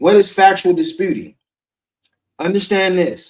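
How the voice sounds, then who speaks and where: An animated, high-pitched male voice at a moderate pace with ordinary pitch variation. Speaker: credit repair coach. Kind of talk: live stream tutorial. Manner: casual, animated.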